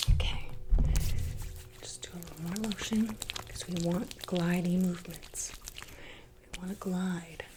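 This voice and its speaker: Amid noticeable background noise, a soft-spoken woman with a fairly low pitch and a calm tone talks at a fairly slow pace in a monotone, flat intonation, with big swings in loudness and long, frequent pauses. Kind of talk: ASMR massage roleplay guiding the listener. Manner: soft-spoken, calm.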